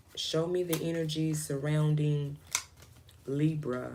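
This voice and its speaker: Audible room echo surrounds a woman's very deep, low voice. She speaks at a very slow pace. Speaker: tarot reader. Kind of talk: live stream tarot reading. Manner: soft-spoken. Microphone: voice too quiet for current mic.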